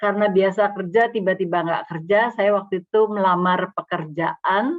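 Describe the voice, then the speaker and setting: A woman's very slow speech with fairly even intonation. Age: 60s. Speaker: speaker at church fellowship, former banker. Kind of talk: talk at church fellowship. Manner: halting.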